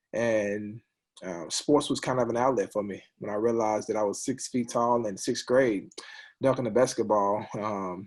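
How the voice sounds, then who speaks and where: Fairly even in intonation, a man's medium-pitched voice keeps a moderate speed. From US South, Monroe, Louisiana. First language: sign language. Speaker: former college football player. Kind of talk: casual chat. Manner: halting, many ums.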